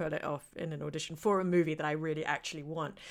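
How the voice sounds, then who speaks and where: A woman speaks with a British accent and a bright, sharp tone. The recording is very clean, with a silent background. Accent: British English, educated. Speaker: actor. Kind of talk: casual interview chat.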